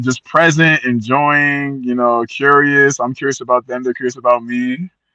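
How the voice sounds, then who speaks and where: Loud and animated in tone, a man speaks with an American accent. His voice is bright and sharp, the sound dry and close with no echo. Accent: American accent, noticed by Liberian kids. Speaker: traveller to ancestral homeland, Liberian heritage. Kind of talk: casual interview chat.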